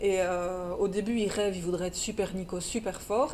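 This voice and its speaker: In a Belgian accent, a woman speaks with a dark, mellow tone. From Belgium. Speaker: children's book publisher. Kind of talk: casual interview. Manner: halting, many repetitions.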